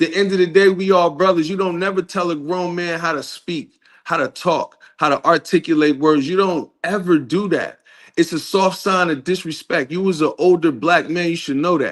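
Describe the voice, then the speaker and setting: Speaking at a moderate pace, a man uses a high pitch and fairly even intonation. The background is quiet. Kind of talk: heated debate.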